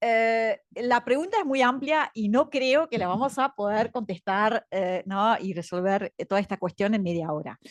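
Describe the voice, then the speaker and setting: A woman with a fairly high pitch talks at a fairly slow pace, her intonation lively. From Belgium. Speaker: education director, panelist. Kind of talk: panel talk. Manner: hesitant, many fillers.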